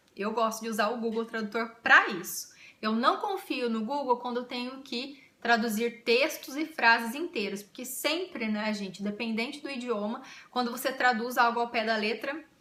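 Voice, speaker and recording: A woman speaks in a high pitch at a moderate pace with ordinary pitch variation. Her tone is animated. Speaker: YouTuber. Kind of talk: casual vlog.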